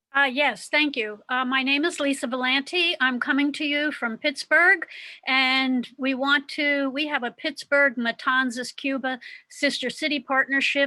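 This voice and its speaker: A woman with a high pitch and a bright, sharp tone speaks in a raised, projected voice with an American accent. Her delivery is fairly slow with fairly even intonation, in a dry, close sound with no echo. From US Midwest, Cincinnati. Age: 70s. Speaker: activist. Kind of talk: speech at online meeting.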